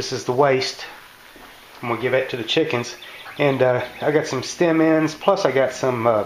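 A man's fairly slow speech with ordinary pitch variation, audible room echo, and light background noise. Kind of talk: casual cooking tutorial. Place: kitchen. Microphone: phone near.

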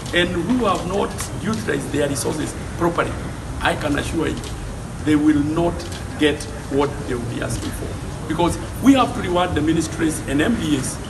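A man talks at a moderate pace while music runs in the background. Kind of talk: press statement. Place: street. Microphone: handheld.

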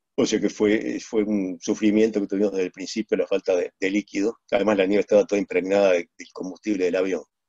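The background is quiet and the sound is dry with no echo. A man talks at a very fast pace. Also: hardly any pauses. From Uruguay. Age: 70s. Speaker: plane crash survivor and speaker. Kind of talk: testimony. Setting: video call. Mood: somber, reflective storytelling. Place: home room. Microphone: video call.

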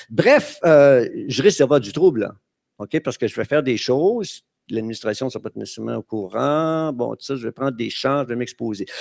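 A man at a medium pitch, with ordinary pitch variation and a moderate pace, against a quiet background. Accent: Quebec. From Quebec. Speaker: retired teacher, conference speaker; teacher giving a conference talk. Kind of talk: conference talk. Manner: halting, many hesitations. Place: stage. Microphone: headset.

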